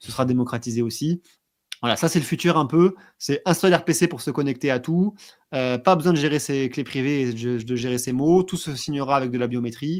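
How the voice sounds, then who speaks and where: It is a very clean recording with a silent background. A man at medium pitch talks at a fairly quick pace with ordinary pitch variation. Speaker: blockchain trainer. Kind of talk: interview. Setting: livestream. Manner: fast.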